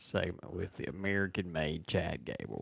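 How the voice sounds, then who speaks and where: The delivery moves at a fairly slow pace with fairly even intonation. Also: man. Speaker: wrestling podcast co-host. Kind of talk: casual chat. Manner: talks low and quiet.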